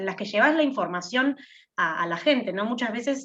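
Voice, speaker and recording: A woman's voice with very wide swings in pitch. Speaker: university student. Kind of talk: class discussion.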